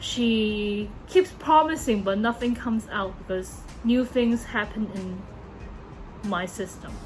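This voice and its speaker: With a non-native accent, a woman speaks very slowly with hardly any pauses while music plays in the background. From Hong Kong. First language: Cantonese. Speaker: YouTuber. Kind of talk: casual monologue. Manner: halting, many fillers and self-corrections.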